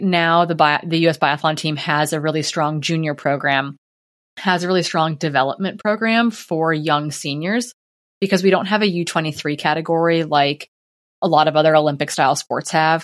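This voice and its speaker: Very clean recording with a silent background of a woman with a plain, everyday voice, fairly low pitch, fairly even intonation, and moderate pace. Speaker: professional ultrarunner and coach. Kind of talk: interview conversation.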